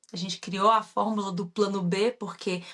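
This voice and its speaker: A woman talks at a moderate pace with fairly even intonation in a strong Minas Gerais accent. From Brazil, Minas Gerais. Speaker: entrepreneur, former mechanical engineer, online course creator. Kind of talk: podcast interview.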